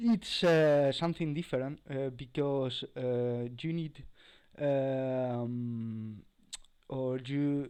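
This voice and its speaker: A man talks very slowly with a non-native accent. His tone is dark and mellow, and his intonation fairly even. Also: medium pitch for a man. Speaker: cybersecurity tutorial creator. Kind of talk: tutorial. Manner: halting, many fillers.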